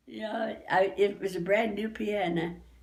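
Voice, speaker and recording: A woman is speaking. Audible room echo and noticeable background noise accompany her voice. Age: 80s+. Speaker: family elder. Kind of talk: reminiscing interview. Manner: halting, with repetitions.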